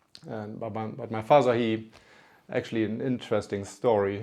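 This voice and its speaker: Against a quiet background, a man with a German accent speaks at a moderate pace in a fairly low pitch, with a dark, mellow tone and monotone, flat intonation. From northern Germany (Lübeck). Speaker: company CEO. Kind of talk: interview storytelling. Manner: halting, with fillers.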